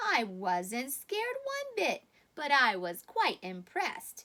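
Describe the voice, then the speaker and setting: A woman with a high pitch at a fairly slow pace. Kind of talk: bedtime story. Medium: read story. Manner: earnest, chatty.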